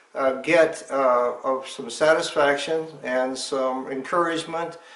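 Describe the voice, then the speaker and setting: A man's fairly high voice with ordinary pitch variation, amid noticeable background noise and audible room echo. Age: 70s. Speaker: retired engineering professor and hiker. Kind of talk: interview. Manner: halting with fillers.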